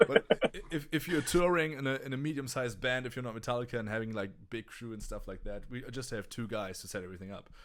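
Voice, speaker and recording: A man with a German accent at a medium pitch, talking at a very fast pace with ordinary pitch variation. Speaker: touring guitarist and gear show host. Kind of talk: casual livestream chat. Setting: livestream. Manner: halting, many restarts.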